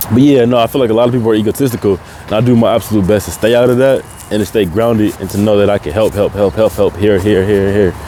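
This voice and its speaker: With noticeable background noise behind him, a man talks at a very fast pace in a fairly low pitch with fairly even intonation. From Tacoma, Washington, US Pacific Northwest. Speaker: podcast host. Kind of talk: casual monologue. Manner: casual, informal.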